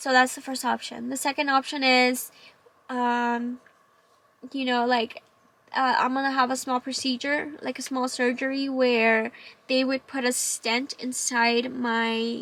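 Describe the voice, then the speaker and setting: In a Spanish accent, a woman speaks at a fairly slow pace with a high pitch and monotone, flat intonation. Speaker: vlogger sharing cancer story. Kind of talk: personal testimony vlog. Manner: halting, many fillers.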